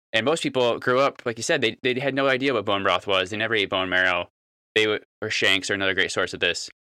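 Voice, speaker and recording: Very fast and bright, sharp in tone, a man talks at medium pitch with ordinary pitch variation. The sound is dry and close with no echo, in a very clean recording with a silent background. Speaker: farmer. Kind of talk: casual interview chat.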